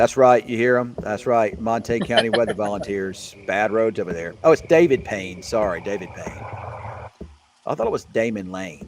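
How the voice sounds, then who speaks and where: A man with a Southern US accent at a medium pitch and moderate pace, ordinary pitch variation, and noticeable background noise. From Mississippi, US South. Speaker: meteorologist. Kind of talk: casual livestream chat.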